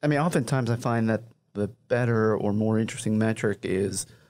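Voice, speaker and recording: Against a quiet background, a man talks at a fairly low pitch and a moderate pace. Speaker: managing editor of racing publication; podcast co-host. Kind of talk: casual panel discussion. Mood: calm analytical. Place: studio. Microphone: studio mic.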